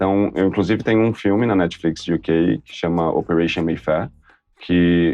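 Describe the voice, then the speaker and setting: A man speaks at a moderate pace in a very deep, low pitch with lively intonation. Music plays in the background. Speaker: actor and TV presenter. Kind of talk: interview. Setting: studio. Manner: animated.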